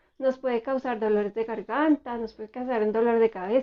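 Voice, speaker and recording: Her pitch high, a woman talks with fairly even intonation. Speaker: therapist. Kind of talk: educational talk. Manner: soft-spoken.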